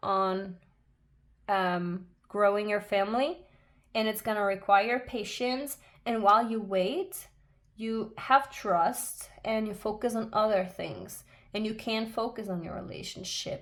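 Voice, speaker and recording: A woman speaks very slowly with a non-native accent. Her voice is fairly high, with ordinary pitch variation. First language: not English. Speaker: tarot reader. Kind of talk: tarot reading monologue. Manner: halting, many fillers.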